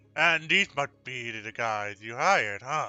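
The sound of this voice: A man's put-on character voice at medium pitch, slow and with lively intonation, its tone clear and smooth yet bright and sharp, over faint music in the background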